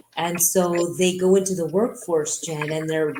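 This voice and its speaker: A woman's fairly low voice with a Montreal accent and monotone, flat intonation. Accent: Montreal anglophone Canadian English. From Quebec, Montreal (English-speaking). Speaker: businesswoman. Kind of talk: interview.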